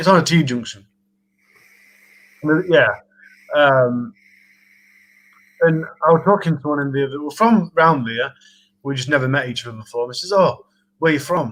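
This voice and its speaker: A man with a fairly high pitch talks at a fairly quick pace, with long, frequent pauses, big swings in loudness and ordinary pitch variation. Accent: strong Yorkshire. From Sheffield, South Yorkshire. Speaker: charity live streamer. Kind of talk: casual chat.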